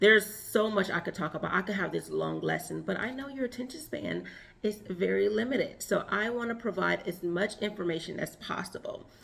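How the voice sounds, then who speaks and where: Noticeable background noise runs behind a woman who talks at a fairly quick pace with hardly any pauses. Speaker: relationship and femininity coach. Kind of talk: advice monologue.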